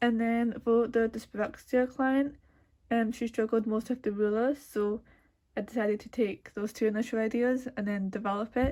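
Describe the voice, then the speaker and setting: At a moderate pace, a woman speaks in a fairly high pitch with a dark, mellow tone. Her intonation stays monotone and flat. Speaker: art student. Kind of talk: tutorial. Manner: casual with many fillers.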